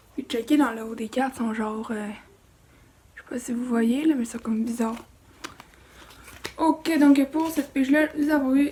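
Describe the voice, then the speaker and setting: Soft-spoken and high-pitched, a woman talks at a moderate pace with fairly even intonation and long, frequent pauses over noticeable background noise. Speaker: toy unboxing youtuber. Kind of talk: unboxing video.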